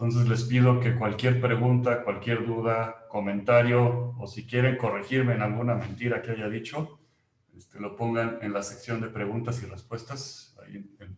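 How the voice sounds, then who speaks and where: A man speaks at medium pitch and a moderate pace, his intonation monotone and flat. His loudness swings widely. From Mexico. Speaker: company employee presenting a webinar. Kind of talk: webinar presentation. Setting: online webinar.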